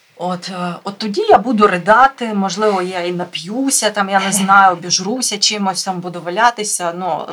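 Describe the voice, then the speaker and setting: Noticeable background noise accompanies a woman who speaks at a moderate tempo. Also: big swings in loudness. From Ukraine, Mykolaiv. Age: 30s. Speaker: volunteer and fitness coach. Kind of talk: interview.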